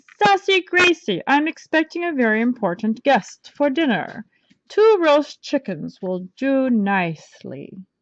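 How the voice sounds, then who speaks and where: A put-on character voice with very wide pitch swings, fairly slow in pace, dry and close with no echo. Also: woman, high pitch for a woman. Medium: read story. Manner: blustering, pompous.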